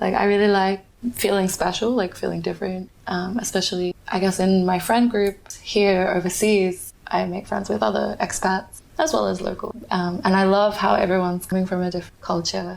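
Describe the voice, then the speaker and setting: With noticeable background noise behind her, a woman with a medium pitch talks with fairly even intonation. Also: moderate pace. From Australia, Perth. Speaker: podcast guest, migrant. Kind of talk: interview, casual chat.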